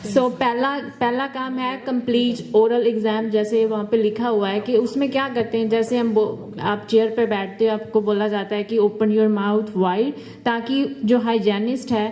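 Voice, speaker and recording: Noticeable background noise sits behind a woman speaking at a fairly slow pace. Her pitch is fairly high and her intonation fairly even. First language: not Hindi-dominant; mixes Hindi and English. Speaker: dental hygiene student. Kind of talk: health presentation.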